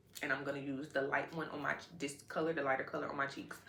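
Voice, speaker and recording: Over noticeable background noise and audible room echo, a woman with a very deep, low voice talks very fast in an animated tone. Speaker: beauty vlogger. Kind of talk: casual chat while doing makeup.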